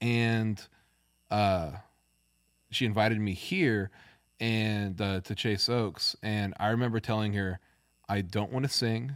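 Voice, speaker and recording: A man's fairly low voice at a moderate pace, with ordinary pitch variation, on a very clean recording with a silent background. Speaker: musician guest. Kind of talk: casual chat. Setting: studio.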